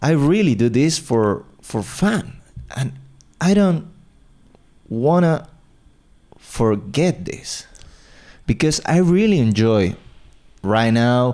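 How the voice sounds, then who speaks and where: A man's medium-pitched voice with a dark, mellow tone and an Argentine accent, very slow, with long, frequent pauses and very wide pitch swings. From Argentina. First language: Spanish. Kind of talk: casual podcast conversation.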